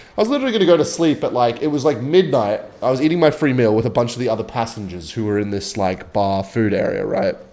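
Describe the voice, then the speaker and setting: With an Australian accent, a man talks at a very fast pace in an animated tone with lively intonation. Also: medium pitch for a man, hardly any pauses. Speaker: gaming youtuber. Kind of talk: casual gameplay commentary with storytelling. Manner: rambling, animated.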